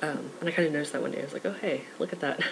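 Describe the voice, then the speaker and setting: A man's fairly high, fairly evenly intoned voice over noticeable background noise. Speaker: vlogger documenting transition. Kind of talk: casual vlog. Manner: rambling with many fillers.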